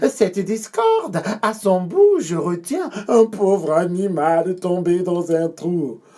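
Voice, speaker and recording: Someone uses a put-on character voice at a middle pitch and a fairly slow pace. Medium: read story. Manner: sly, wheedling.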